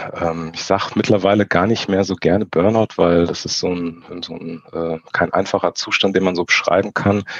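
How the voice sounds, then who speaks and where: A man with a very deep, low voice, monotone and flat, at a moderate pace with hardly any pauses, over noticeable background noise. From Frankfurt, Germany. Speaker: photographer. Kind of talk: casual interview. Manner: halting, many fillers.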